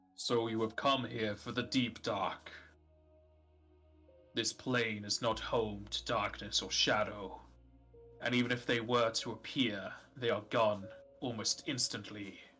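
At a fairly slow pace, a man speaks in a medium pitch with long, frequent pauses. Faint music plays in the background. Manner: solemn, measured, archaic.

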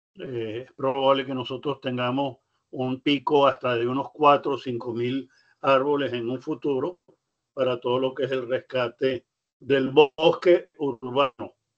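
A man speaks at a fairly slow pace in a medium pitch, with monotone, flat intonation. The background is quiet. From Venezuela. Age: 80s+. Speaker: nonprofit national president. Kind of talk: speech. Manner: halting. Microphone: video call.

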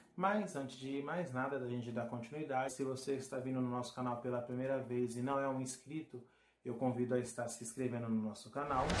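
Fairly quick male speech amid noticeable background noise. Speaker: vehicle channel host. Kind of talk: casual vlog chat. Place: home room.

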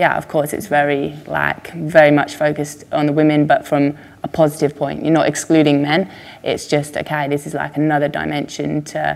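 A woman speaks at a moderate pace in monotone, flat intonation. Her pitch is very deep and low. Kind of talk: interview answer. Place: home room.

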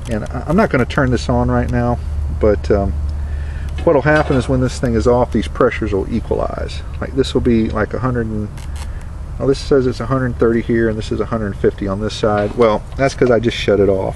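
With clear background noise behind him, a man talks at a moderate pace and medium pitch, his intonation fairly even.

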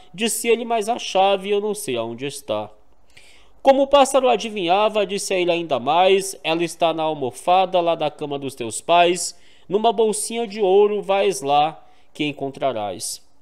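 The man's pitch is high. He uses lively intonation. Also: moderate pace, quiet background. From Maranhão, Brazil. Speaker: YouTube narrator of cordel poetry. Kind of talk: reading aloud of rhymed cordel verse. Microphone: studio mic.

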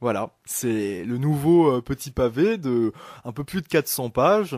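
A man's voice at a very slow pace, with very wide pitch swings, dry sound with no echo and a quiet background. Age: 20s. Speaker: novelist; guest. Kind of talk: radio interview. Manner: hesitant, many fillers. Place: studio.

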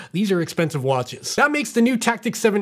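With quiet surroundings, a man speaks at a fairly quick pace. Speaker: tech reviewer. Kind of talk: product review talk. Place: studio.

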